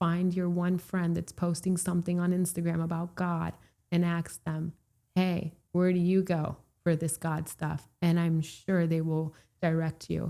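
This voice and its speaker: A woman with a Florida accent speaks fairly slowly in a fairly low pitch, her intonation flat and monotone and her tone dark and mellow. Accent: American English, Florida. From Puerto Rico, raised in Florida from age three. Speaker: real estate broker. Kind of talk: casual interview chat.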